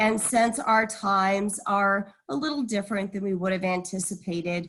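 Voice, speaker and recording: A somewhat breathy voice with fairly even intonation. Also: woman. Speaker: university event moderator. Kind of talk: webinar hosting.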